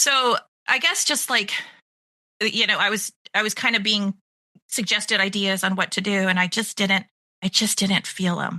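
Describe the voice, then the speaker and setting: Her loudness stays very even and the sound is dry and close with no echo. The woman speaks at a moderate pace with fairly even intonation and long, frequent pauses. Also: medium pitch for a woman. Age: 50s. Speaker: pet care business owner. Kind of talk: interview conversation.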